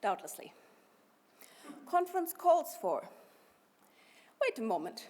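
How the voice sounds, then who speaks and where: A woman speaks with a German accent at a moderate pace. Her pitch swings very widely. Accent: noticeable German. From Germany. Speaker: party activist, conference speaker. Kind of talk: conference speech. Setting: party conference hall.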